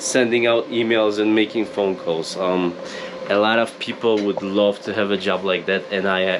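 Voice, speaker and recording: Over noticeable background noise, a man with a Polish accent speaks at a moderate pace with fairly even intonation. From Poland. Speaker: YouTuber, off-grid homesteader. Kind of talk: casual vlog. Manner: chatty.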